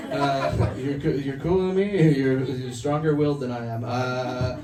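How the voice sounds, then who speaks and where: A man in a Canadian accent, with ordinary pitch variation, music in the background and audible room echo. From Canada (Toronto). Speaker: stand-up comedian. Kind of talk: stand-up. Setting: stage with audience. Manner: animated.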